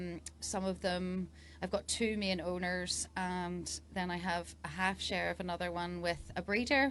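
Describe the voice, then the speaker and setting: At a fairly slow pace, a woman speaks with an Irish accent. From Northern Ireland. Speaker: dressage rider and coach. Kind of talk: casual interview. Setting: event fan zone.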